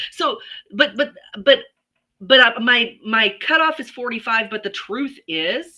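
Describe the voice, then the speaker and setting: A woman talks very slowly in a fairly high, bright and sharp voice, with lively intonation and big swings in loudness. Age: 60s. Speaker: podcast co-host. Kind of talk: casual chat. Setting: livestream video.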